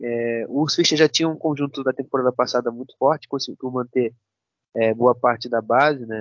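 A man speaks at a medium pitch with fairly even intonation. His pace is moderate. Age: 20s. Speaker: football analyst. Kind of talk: casual chat. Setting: remote call. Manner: halting.

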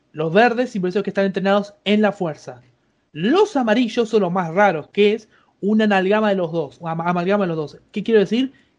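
Speech comes at a fairly quick pace in a Rioplatense accent. Pitch varies in an ordinary way against a quiet background. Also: man, high pitch for a man. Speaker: psychology student, guest. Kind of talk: casual chat. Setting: Skype call.

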